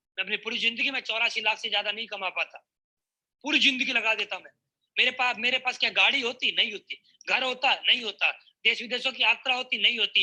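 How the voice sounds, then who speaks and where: A man projects a raised voice at an extremely high pitch. The sound is dry and close with no echo. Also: fairly even intonation. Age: 20s. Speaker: network marketing speaker. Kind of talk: motivational speech.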